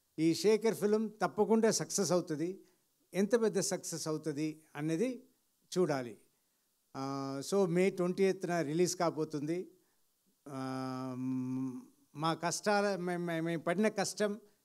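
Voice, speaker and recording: The background stays quiet while a man talks in a high voice. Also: ordinary pitch variation. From India. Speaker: film actor. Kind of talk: public speech at film event. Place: stage. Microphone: handheld.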